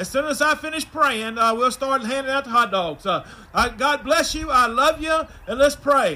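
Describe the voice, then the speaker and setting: Over noticeable background noise, a man projects a raised voice at an extremely high pitch, with ordinary pitch variation and a moderate pace. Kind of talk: prayer and introduction at church service. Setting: drive-in church, congregation in vehicles.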